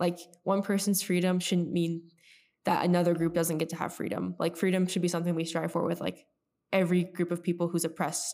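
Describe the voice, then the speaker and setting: A woman with an American accent speaks at a fairly quick pace and fairly low pitch. Her intonation is flat and monotone, her loudness very even. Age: young. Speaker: podcast co-host, college student. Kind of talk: casual chat. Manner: halting.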